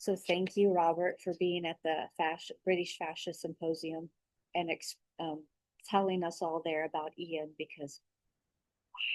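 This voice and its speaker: A woman's flat, monotone delivery at a fairly slow pace, in a dry, close sound with no echo. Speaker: massage therapist. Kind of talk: video letter, casual talk to camera. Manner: speaking louder than usual; hesitant, many fillers. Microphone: own voice gets a little quiet in recordings.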